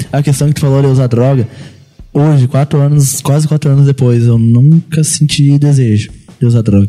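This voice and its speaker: A man's fairly high, somewhat breathy voice with a dark, mellow tone, fairly even intonation and very even loudness. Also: moderate pace. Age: 20s. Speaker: church youth guest sharing recovery story. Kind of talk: testimony.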